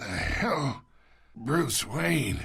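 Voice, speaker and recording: A man puts on a raspy character voice at medium pitch. His pitch swings very widely. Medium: video game. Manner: gruff, mocking.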